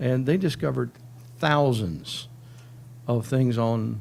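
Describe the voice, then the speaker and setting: With audible room echo, a man speaks at a moderate pace in a medium pitch, his tone dark and mellow and his intonation lively. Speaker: cybersecurity strategist, military veteran. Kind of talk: conference talk. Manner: casual, joking.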